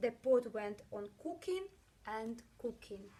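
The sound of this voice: A woman's dark, mellow voice with a slightly husky edge, fairly high pitch, lively intonation and slow pace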